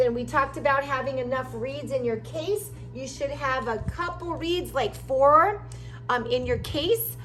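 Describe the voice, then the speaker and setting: Audible room echo surrounds a woman who talks fairly slowly. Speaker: music teacher. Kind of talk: tutorial.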